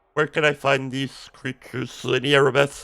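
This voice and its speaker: A man puts on a character voice at medium pitch, flat and monotone, at a moderate pace. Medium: video game. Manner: earnest, respectful.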